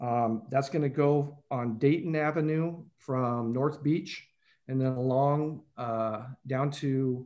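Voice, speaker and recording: Against a quiet background, a man with an ordinary speaking voice talks at a fairly high pitch with fairly even intonation. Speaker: city finance official presenting budget. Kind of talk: budget presentation at council meeting.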